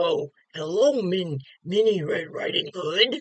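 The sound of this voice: This is a put-on character voice, squeaky and at a middle pitch. It moves at a fairly slow pace.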